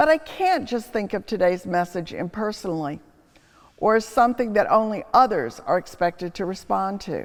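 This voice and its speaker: A woman's medium-pitched, a plain, everyday voice, at a moderate pace with lively intonation. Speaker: preacher, history professor. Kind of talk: homily, preaching reflection.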